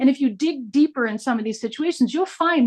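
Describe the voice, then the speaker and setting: The sound is dry and close with no echo as a woman speaks at a moderate pace in a high voice, with ordinary pitch variation. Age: 60s. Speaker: independent theatre artist. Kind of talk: open discussion in a virtual workshop. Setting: video call. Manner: animated, rambling.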